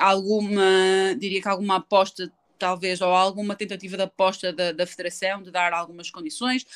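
In a European Portuguese accent, a woman of medium pitch speaks at a moderate pace with fairly even intonation and big swings in loudness. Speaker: handball player. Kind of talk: interview. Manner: hesitant, many fillers.

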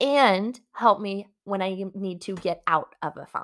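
An ordinary speaking voice from a woman, an ordinary speaking voice at medium pitch with ordinary pitch variation, on a very clean recording with a silent background. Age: 20s. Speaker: personal development podcast host and coach. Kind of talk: solo podcast monologue.

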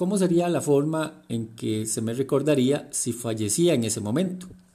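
Lively in intonation, a man with a fairly high pitch and a dark, mellow tone speaks at a moderate pace. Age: 40s. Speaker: leadership coach and podcaster. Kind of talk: reflective monologue.

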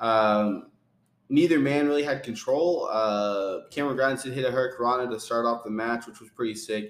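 At a moderate pace, a man with an unremarkable speaking voice talks at a medium pitch with ordinary pitch variation and big swings in loudness. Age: 40s. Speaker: wrestling podcast co-host. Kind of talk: casual chat.

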